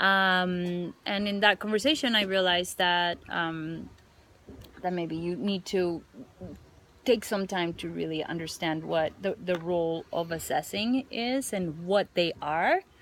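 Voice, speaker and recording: A woman with a non-native accent speaks at a fairly slow pace. Her voice is fairly low in pitch, with ordinary pitch variation. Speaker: teaching mentor. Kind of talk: mentoring feedback conversation. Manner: halting, many fillers and repetitions.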